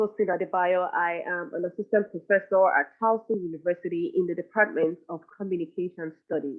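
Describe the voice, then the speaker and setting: Speaking with a non-native accent, the woman keeps her voice at a medium pitch. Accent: foreign. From Nigeria. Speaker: professor. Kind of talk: conference presentation.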